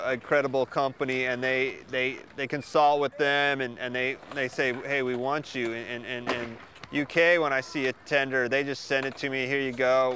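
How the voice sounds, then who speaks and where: A man with a Pacific Northwest accent speaks at a fairly high pitch and a moderate pace. His intonation is monotone and flat. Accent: American (Pacific Northwest). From US, Oregon. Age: 30s. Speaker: skatepark designer and builder. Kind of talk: interview answers. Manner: casual, halting with repetitions.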